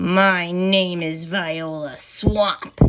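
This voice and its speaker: A woman's raspy put-on character voice, fairly low in pitch, with monotone, flat intonation. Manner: menacing.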